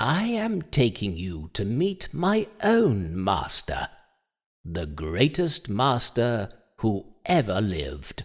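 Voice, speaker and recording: A man uses a put-on character voice at a medium pitch and a very slow pace. The recording is very clean, with a silent background. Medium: audio drama. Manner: calm, measured.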